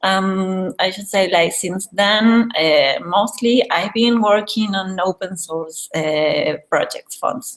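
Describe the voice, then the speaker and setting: With a Spanish accent, a woman talks at a very slow pace in a medium pitch, with ordinary pitch variation and hardly any pauses. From Argentina, Buenos Aires. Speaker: graphic and type designer. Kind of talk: casual chat. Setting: video call.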